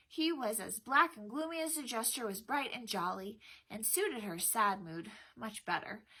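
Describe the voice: This is plain reading aloud. The intonation is lively.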